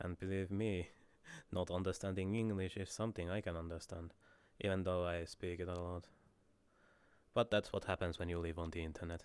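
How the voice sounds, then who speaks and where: With a Finnish accent, a man's very deep, low voice moves at a fairly quick pace in a flat monotone, broken by long, frequent pauses, on a very clean recording with a silent background. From Finland. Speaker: streamer. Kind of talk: casual chat. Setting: live stream.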